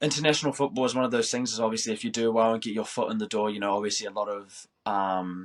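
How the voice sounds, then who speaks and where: A man talks at a very fast pace with fairly even intonation and a slight New Zealand accent. The recording is very clean, with a silent background. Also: medium pitch for a man. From New Zealand, Christchurch. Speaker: professional footballer. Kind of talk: interview.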